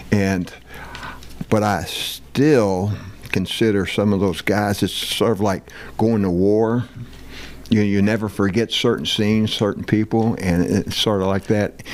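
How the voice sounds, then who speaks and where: A man talks at a fairly low pitch with very even loudness and long, frequent pauses. Noticeable background noise is present. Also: fairly even intonation, fairly slow pace. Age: 70s. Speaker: former football player. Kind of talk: casual interview.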